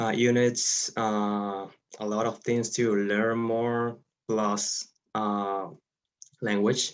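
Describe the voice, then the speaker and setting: A man with a Spanish accent talks very slowly at a fairly low pitch, his intonation monotone and flat, his loudness very even, and his pauses long and frequent. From Venezuela. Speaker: engineer. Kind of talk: interview. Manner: halting, many fillers.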